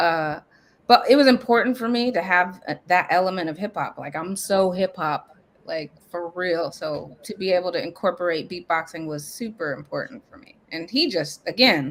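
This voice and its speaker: A woman with an American accent uses a normal speaking voice at medium pitch and a moderate pace. Her intonation is lively, and her loudness swings widely. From Nebraska. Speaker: hip hop artist. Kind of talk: casual interview.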